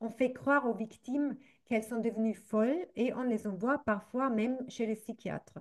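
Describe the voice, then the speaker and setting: A woman speaks with a German accent at a moderate pace. Her pitch is fairly high, with ordinary variation. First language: German (speaking French). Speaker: association representative, activist. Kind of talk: reading aloud a prepared statement. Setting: recorded video. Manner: halting, careful.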